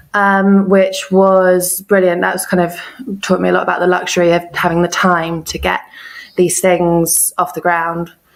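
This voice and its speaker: A woman with an English accent speaks at a moderate pace in a fairly low voice with monotone, flat intonation. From east of England. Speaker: freelance translator and copywriter. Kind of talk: podcast interview.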